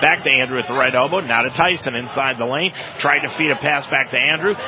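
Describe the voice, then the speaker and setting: Over noticeable background noise, a man talks at a very fast pace, his medium pitch kept to fairly even intonation. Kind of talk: live play-by-play basketball commentary. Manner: rapid-fire, fluent, rhythmic play-by-play delivery.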